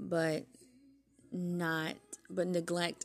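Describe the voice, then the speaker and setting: A soft-spoken woman with a fairly low pitch talks while music plays in the background. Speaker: podcast host. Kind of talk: casual talk.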